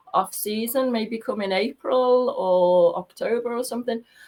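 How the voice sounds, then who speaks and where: Ordinary pitch variation from a woman with a Liverpool accent at a moderate pace. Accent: Scouse (Liverpool). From Liverpool, England. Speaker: tour guide. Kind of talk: casual chat.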